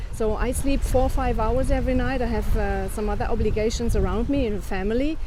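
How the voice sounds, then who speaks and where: A woman at a fairly quick pace with ordinary pitch variation, plus audible room echo. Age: 50s. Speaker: business owner. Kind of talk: casual chat.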